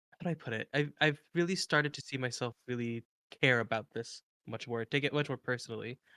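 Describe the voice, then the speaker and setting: Mumbling at a fairly quick pace, a man with a medium pitch and a bright, sharp tone is heard in a dry, close sound with no echo. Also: ordinary pitch variation, very clean recording, silent background. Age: 20s. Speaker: podcast co-host. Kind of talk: interview.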